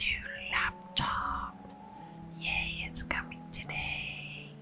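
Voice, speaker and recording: Over music in the background, a soft-spoken woman whispers in a soothing tone at a very slow pace. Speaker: ASMR creator. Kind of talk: ASMR whisper ramble. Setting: lo-fi home recording. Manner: whispered; soft-spoken, soothing.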